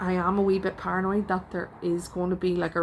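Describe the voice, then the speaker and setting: The speaker has a Northern Irish accent and a fairly quick pace. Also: woman. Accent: Northern Irish (Belfast). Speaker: artist and vlogger. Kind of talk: casual vlog talk. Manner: hesitant, with many fillers.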